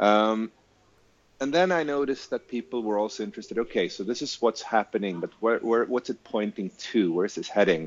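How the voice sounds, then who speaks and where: Using a normal speaking voice, a man talks at a fairly quick pace in a medium pitch. His intonation is lively. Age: 40s. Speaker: futurologist and author. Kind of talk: interview.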